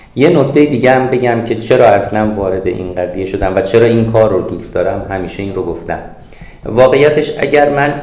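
A man's very fast speech at a medium pitch, with ordinary pitch variation, noticeable background noise and audible room echo. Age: 50s. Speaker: author and business consultant. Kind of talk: interview.

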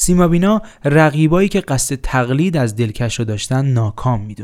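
A man speaks in a normal speaking voice, pitched fairly high, at a moderate pace. His intonation is lively. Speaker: podcast host. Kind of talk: scripted narration.

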